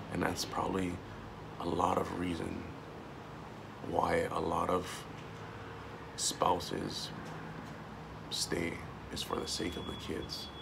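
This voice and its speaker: A man speaks at a very slow pace, leaving long, frequent pauses. Background noise is noticeable. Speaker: vlogger and army veteran. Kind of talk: personal video monologue. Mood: earnest, emotional, reflective. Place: home room. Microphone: phone near.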